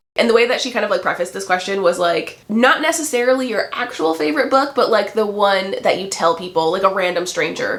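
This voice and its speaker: With lively intonation, a woman speaks fairly quickly while noticeable background noise carries on behind her. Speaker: book YouTuber. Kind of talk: casual chat.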